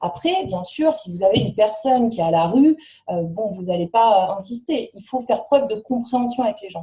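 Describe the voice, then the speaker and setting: A somewhat breathy woman's voice, fairly high in pitch, with big swings in loudness. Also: lively intonation. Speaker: network marketing trainer. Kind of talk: training presentation. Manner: fast.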